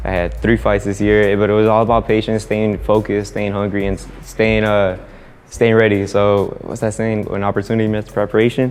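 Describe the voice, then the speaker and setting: With music in the background, a man talks at a fairly quick pace in a fairly low pitch and a monotone, flat intonation. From Mexico. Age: 20s. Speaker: professional boxer. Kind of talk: interview. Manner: halting, repeats words.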